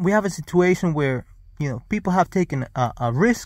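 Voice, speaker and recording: Speaking at a fairly slow pace, a man uses a high pitch that swings very widely. The recording is very clean, with a silent background. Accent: non-native. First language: not English. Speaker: vlogger. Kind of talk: casual monologue. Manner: halting.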